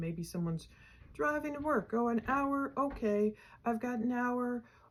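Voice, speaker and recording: A somewhat breathy woman at a fairly slow pace with lively intonation, on a very clean recording with a silent background. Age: 50s. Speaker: true crime YouTuber. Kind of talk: casual chat.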